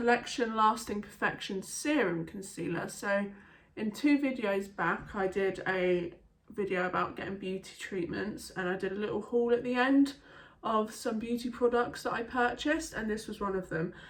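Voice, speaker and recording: A woman with an English accent, fairly high pitch and ordinary pitch variation at a moderate pace. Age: 20s. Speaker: beauty vlogger. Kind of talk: casual chat.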